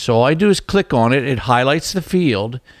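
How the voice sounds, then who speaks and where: A man with an ordinary speaking voice talks at medium pitch and a moderate pace. His intonation is lively, and the recording is very clean with a silent background. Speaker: software trainer. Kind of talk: tutorial. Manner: casual, with fillers.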